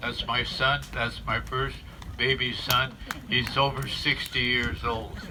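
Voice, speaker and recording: A man at a very slow pace, with audible room echo and noticeable background noise. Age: 90s. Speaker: veteran community member and plaque maker. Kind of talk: ceremony speech. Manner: halting.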